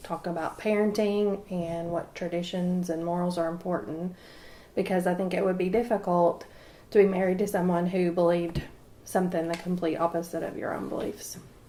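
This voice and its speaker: This woman talks at a fairly quick pace in a fairly low pitch, her intonation monotone and flat. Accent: Appalachian. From East Tennessee. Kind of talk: interview answer.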